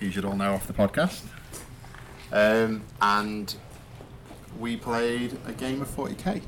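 A man of medium pitch speaks at a very slow pace with long, frequent pauses. Noticeable background noise runs underneath. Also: ordinary pitch variation. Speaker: podcast host, tournament player. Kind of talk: casual chat. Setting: in a car.

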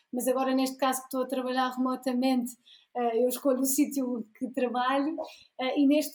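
A woman's high pitch in a monotone, flat intonation. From Portugal. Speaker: graphic designer and illustrator. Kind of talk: casual interview chat.

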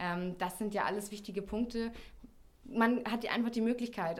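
A woman at a fairly quick pace, fairly even intonation, audible room echo. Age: 30s. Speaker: public-sector recruitment and marketing officer. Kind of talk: interview. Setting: studio.

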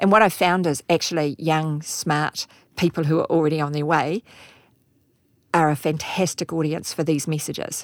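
With a New Zealand accent, a woman speaks in a very deep, low pitch and fairly even intonation on a very clean recording with a silent background. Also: moderate pace. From New Zealand, Auckland. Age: 50s. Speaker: insurance company chief executive. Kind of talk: interview.

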